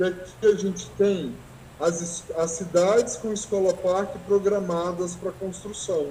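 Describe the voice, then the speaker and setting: Over noticeable background noise and audible room echo, a man with a high pitch talks at a fairly slow pace with fairly even intonation. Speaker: teacher and researcher. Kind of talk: online lecture. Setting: video call from school. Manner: halting.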